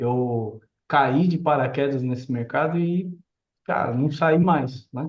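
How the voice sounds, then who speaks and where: A man is speaking. His voice is somewhat breathy. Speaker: real estate developer and architect. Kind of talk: live stream chat. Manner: casual.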